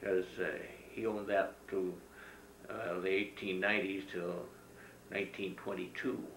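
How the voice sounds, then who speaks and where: A man with an American accent, very deep and low in pitch, at a very slow pace with long, frequent pauses, fairly even intonation, light background noise and audible room echo. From Northern California, US West. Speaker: farmer. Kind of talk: oral history interview. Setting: at his home, beside old farm equipment. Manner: halting, frequent filler sounds. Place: home room.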